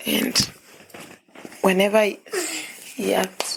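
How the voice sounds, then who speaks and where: A woman's voice comes out shaky with vocal fry. Her intonation is monotone and flat. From Kenya. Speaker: young mother. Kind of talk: podcast interview, personal life story. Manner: emotional, quivering.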